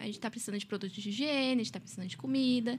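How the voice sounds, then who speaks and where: High-pitched female speech, pitch varying in an ordinary way. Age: 20s. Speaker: law student, volunteer group member. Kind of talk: casual chat.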